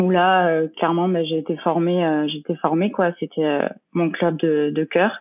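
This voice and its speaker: A woman speaks at a fairly slow pace, her intonation fairly even. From southern France, Lozère (Mende). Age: 30s. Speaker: professional triathlete and former handball player. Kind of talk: interview. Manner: hesitant, many fillers.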